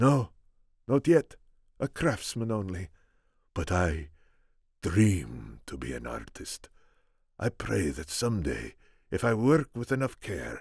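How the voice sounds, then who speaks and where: A man's put-on character voice at a very deep, low pitch, with very wide pitch swings and a moderate pace, on a very clean recording with a silent background. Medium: read story. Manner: earnest, measured.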